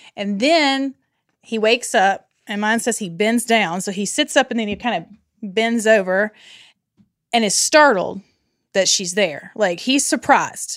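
A woman with an ordinary speaking voice talks at a fairly slow pace and fairly high pitch with ordinary pitch variation, on a very clean recording with a silent background. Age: 40s. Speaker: Bible study podcast guest. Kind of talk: casual chat.

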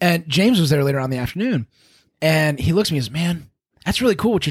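Animated in tone, a man talks at a very fast pace with lively intonation. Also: very clean recording, silent background. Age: 40s. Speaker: jiu-jitsu podcast host and gear seller. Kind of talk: casual chat; promotional plug. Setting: studio.

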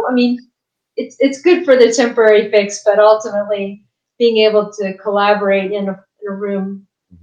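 A woman with an American accent has a plain, everyday voice, fairly high in pitch. She talks at a moderate pace with ordinary pitch variation. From West Virginia. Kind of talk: casual interview chat. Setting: video call.

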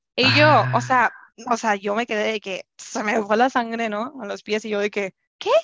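A woman's fairly high voice with vocal fry, ordinary pitch variation and a moderate pace, in a dry, close sound with no echo. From Culiacán, Sinaloa, Mexico. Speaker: podcast guest sharing a personal story. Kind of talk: personal storytelling in casual interview.

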